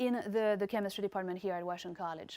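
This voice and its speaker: A woman with a French accent. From France. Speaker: chemistry professor. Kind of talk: recorded presentation. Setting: remote presentation.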